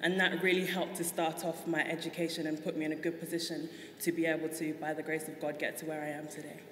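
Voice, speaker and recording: In a London accent, a woman talks at a very fast pace in a fairly low, monotone, flat voice, with audible room echo and noticeable background noise. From South London, England. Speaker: guest on a talk show. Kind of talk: interview.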